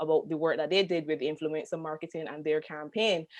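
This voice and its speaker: A woman with a Barbadian accent, a very deep, low pitch and a fairly quick pace. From Barbados. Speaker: tourism marketing consultant. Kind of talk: panel discussion.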